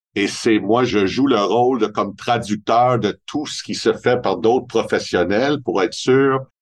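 Speaking fairly slowly in a Montreal accent, a man uses ordinary pitch variation. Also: quiet background. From Montreal, Quebec. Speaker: family wealth advisor. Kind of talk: interview.

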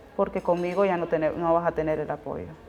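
Here is a woman with an unremarkable speaking voice. Her pitch is fairly low and her intonation fairly even. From Honduras. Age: 20s. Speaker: asylum seeker sharing her story. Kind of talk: testimony.

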